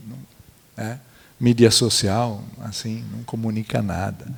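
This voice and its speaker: This man has an Italian accent. He talks at a very slow pace. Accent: Italian-accented Brazilian Portuguese. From central Italy, near Florence. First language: Italian (speaking Portuguese). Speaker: architect and museologist. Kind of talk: panel talk. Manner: halting, many fillers.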